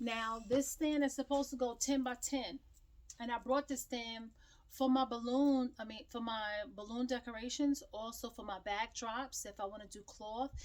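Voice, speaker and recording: Loud and high-pitched, a woman speaks with fairly even intonation. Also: moderate pace. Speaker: small business owner and crafter. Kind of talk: tutorial. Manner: casual, chatty.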